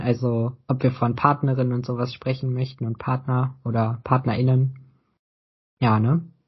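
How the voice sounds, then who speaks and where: Somewhat breathy, this voice keeps a moderate pace. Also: man. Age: 20s. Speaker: podcast co-host. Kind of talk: casual chat.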